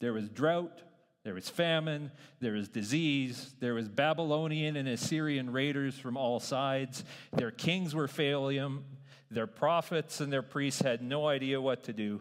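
A man with an American accent speaks at a fairly slow pace in a plain, everyday voice. His pitch varies in an ordinary way. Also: fairly high pitch for a man. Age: 30s. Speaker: pastor. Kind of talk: sermon.

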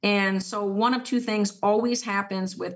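The background is quiet. A woman speaks at a medium pitch with fairly even intonation. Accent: Minnesota. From southern Minnesota. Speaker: city council member. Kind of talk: casual interview.

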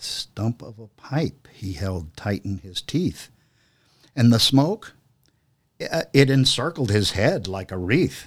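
A man speaks very slowly with long, frequent pauses and a somewhat breathy voice. His pitch swings very widely, and his loudness rises and falls sharply. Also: medium pitch for a man, very clean recording, silent background. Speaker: podcast host. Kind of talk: dramatic poem reading, taking turns by stanza.

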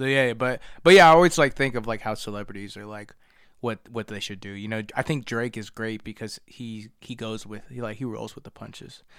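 A man speaks in an ordinary speaking voice with an American accent and ordinary pitch variation. The recording is very clean, with a silent background. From Harrisburg, Pennsylvania, US. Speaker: rapper. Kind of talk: promotion of own music; casual chat.

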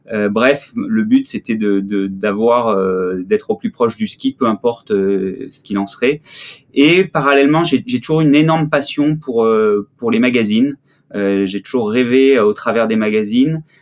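A man's medium-pitched voice at a fairly slow pace, with ordinary pitch variation and a dry, close sound with no echo. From southern France (Marseille). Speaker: ski photographer. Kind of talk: interview. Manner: hesitant, many fillers.

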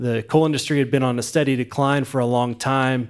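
In an American accent, this is an ordinary speaking voice at a moderate pace. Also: man. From West Virginia. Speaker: nonprofit founder. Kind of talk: interview.

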